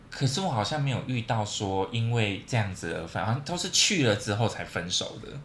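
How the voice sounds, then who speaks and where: Noticeable background noise sits behind this recording. A man speaks at a fairly quick pace with lively intonation. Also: medium pitch for a man. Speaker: podcast co-host. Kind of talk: casual chat.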